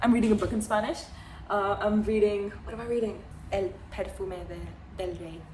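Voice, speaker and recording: A woman talks over noticeable background noise. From India. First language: Hindi. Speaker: vlogger. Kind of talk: casual monologue. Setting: at home, living room. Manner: halting, with many fillers and restarts.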